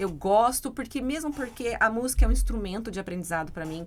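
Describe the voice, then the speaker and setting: Her delivery comes at a fairly quick pace in a normal speaking voice. This woman's pitch sits fairly high. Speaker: English teacher. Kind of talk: casual chat.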